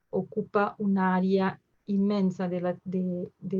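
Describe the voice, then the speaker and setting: A woman with a Portuguese accent has a dark, mellow tone and sounds somewhat breathy. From southern Brazil, Porto Alegre. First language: Portuguese (speaking Spanish). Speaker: emergency physician. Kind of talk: lecture. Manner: halting, many fillers.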